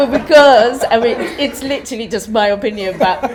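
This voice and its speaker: Moderate tempo from a woman amid noticeable background noise. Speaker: movement director and choreographer. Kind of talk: panel discussion. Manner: hesitant, many fillers.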